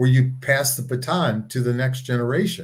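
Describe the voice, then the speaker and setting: In a somewhat breathy voice, a man talks at a moderate speed. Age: 60s. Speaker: nonprofit co-founder. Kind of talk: casual interview. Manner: halting, repeats words.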